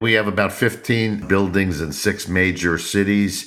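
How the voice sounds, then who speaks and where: The voice has a bright, sharp tone with vocal fry and an American accent. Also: man. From US Northeast, New York. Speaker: company CEO. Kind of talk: interview.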